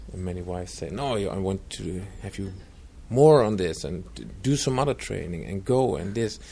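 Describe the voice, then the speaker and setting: A man with a dark, mellow tone and fairly low pitch speaks at a moderate pace. His intonation is lively, and the room echo is audible. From Netherlands. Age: 40s. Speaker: retreat center trainer and coach. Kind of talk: interview.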